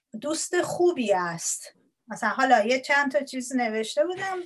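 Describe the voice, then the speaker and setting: High-pitched female voice, its pitch swinging very widely. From Iran. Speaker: Persian language lecturer. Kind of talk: interview. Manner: halting.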